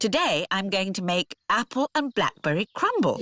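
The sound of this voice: In a cartoonish character voice, a female-sounding speaker talks at a moderate pace with a fairly high pitch.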